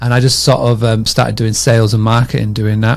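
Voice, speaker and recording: With a Yorkshire accent, a man of medium pitch talks at a fairly quick pace in monotone, flat intonation. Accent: British, Yorkshire. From northern England, Scarborough, Yorkshire. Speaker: short-term rental marketing consultant. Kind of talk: podcast interview. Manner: casual, many fillers.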